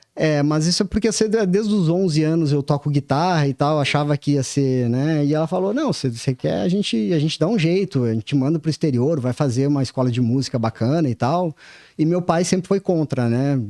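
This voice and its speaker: A man with a fairly high pitch and a dark, mellow tone talks at a fairly quick pace with lively intonation, the sound dry and close with no echo. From Rio Grande do Sul, Brazil (Pelotas, Uruguaiana). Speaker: civil servant and exam-prep mentor. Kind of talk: podcast interview. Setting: studio. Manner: halting, many self-corrections.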